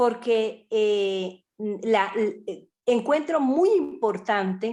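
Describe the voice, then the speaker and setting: A woman at a fairly high pitch and very slow pace with lively intonation, on a very clean recording with a silent background. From Colombian Caribbean coast. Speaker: group participant. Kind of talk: group discussion. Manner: hesitant.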